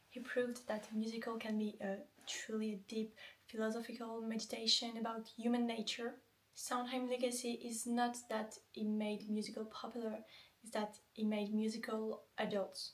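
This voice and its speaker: A woman's fairly high voice at a moderate pace, flat and monotone, over noticeable background noise. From France. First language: French. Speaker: vlogger. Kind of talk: casual explainer monologue. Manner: hesitant, many fillers.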